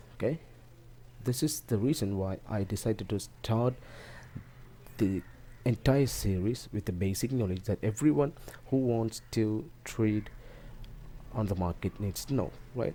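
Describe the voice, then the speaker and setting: A man with a non-native accent speaks at a fairly slow pace, with long, frequent pauses. His pitch is fairly low, with ordinary pitch variation. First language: not English. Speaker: forex trading teacher. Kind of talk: tutorial talk to camera.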